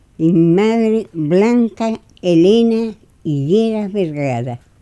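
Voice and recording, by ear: Speaking slowly, a woman uses a medium pitch, lively intonation, and a dark, mellow tone.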